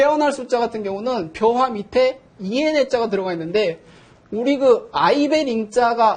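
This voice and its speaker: The speaker is a man. His intonation is lively. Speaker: professor. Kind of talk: lecture.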